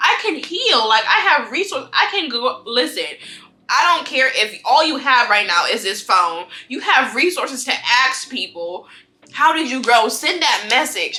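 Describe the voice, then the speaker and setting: Over music in the background, a woman projects her high voice in an animated tone, her pitch swinging very widely at a moderate pace. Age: 20s. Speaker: lifestyle vlogger. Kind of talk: casual monologue. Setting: home, eating on camera.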